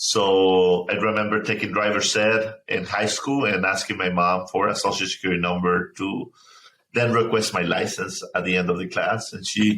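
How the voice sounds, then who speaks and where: A man with a Spanish accent talks at a moderate pace, his fairly low voice holding a fairly even intonation. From Mexico, small town; moved to Chicago suburb at 15. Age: 30s. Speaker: nonprofit founder. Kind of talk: interview. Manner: halting, many repetitions.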